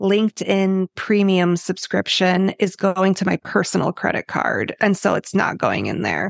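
In a very clean recording with a silent background and a dry, close sound with no echo, a woman with an American accent uses a normal speaking voice at medium pitch. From Chicago, Illinois. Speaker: accountant. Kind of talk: casual interview.

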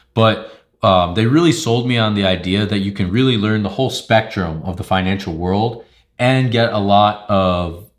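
A man's ordinary speaking voice, fairly low in pitch, at a moderate pace on a very clean recording with a silent background. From Long Island, New York. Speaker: MBA student, former private equity investor. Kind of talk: interview.

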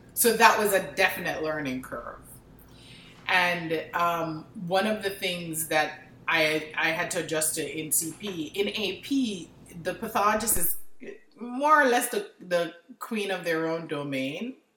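Over audible room echo, a woman with a fairly low pitch talks at a fairly slow pace with lively intonation. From Jamaica. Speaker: pathologist. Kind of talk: interview.

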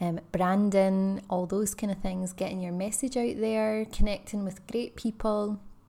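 A woman's dark, mellow voice with a Scottish accent, fairly slow and monotone in its flat intonation. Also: medium pitch for a woman. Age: 30s. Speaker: podcast host, ex-teacher and wellbeing coach. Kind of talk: casual solo podcast monologue.

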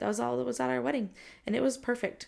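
A woman's voice with an American accent and very wide pitch swings, in a very clean recording with a silent background. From Southern California. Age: 20s. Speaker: podcast host. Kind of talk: casual solo talk. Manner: casual, many fillers (um, like).

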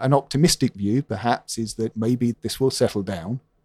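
A man with a southern English accent speaks at a medium pitch in a dark, mellow tone, with ordinary pitch variation. The sound is dry and close with no echo, and the recording is very clean with a silent background. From London, England. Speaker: newspaper columnist. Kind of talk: interview.

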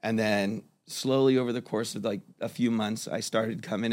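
This voice is an unremarkable speaking voice with an American accent. The intonation stays fairly even. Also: man. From South Florida. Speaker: kava bar server and artist. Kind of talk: casual interview. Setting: studio. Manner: relaxed, many fillers.

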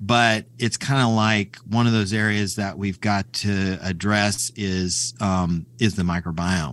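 With an American accent, a man with a fairly low pitch and ordinary pitch variation speaks very slowly with hardly any pauses, on a very clean recording with a silent background. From US Midwest, rural Kansas. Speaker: colorectal surgeon. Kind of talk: interview. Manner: halting, many fillers.

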